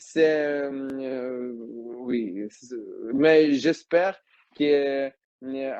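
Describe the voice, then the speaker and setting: A man's fairly high-pitched voice, dark and mellow, with fairly even intonation at a very slow pace. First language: Ukrainian or Russian (speaking French). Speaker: Ukrainian member of parliament. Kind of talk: testimony. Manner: halting, many hesitations.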